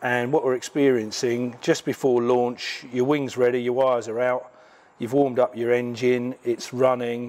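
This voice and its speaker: A man speaks in a monotone with flat intonation. His pace is moderate. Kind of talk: tutorial. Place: garage.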